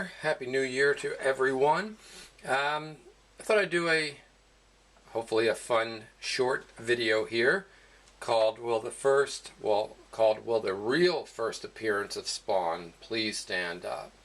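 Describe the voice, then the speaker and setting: Here a man speaks at a medium pitch. His intonation is lively and his pace is very slow. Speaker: comic book collector. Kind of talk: casual talk to camera.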